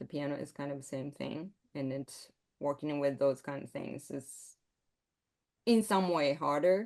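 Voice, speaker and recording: With long, frequent pauses and big swings in loudness, a woman with a very deep, low voice speaks with ordinary pitch variation against a quiet background. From Japan. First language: Japanese. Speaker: composer. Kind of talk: interview. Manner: halting.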